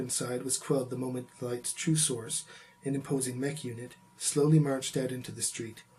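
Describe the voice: Intonation stays fairly even throughout this plain reading aloud.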